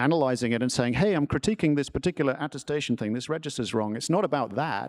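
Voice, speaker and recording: In an English accent, a man talks at a very fast pace with ordinary pitch variation. The recording is very clean with a silent background and a dry, close sound without echo. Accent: proper English. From New Jersey, US. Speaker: tech company product executive, panelist. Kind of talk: panel discussion. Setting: stage with audience. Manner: authoritative; halting, many fillers.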